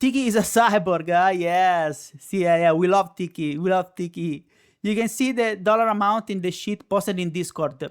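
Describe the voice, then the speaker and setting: The speaker has an Italian accent and a moderate pace. The recording is very clean, with a silent background. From Italy. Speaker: live streamer. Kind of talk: casual chat. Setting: live stream.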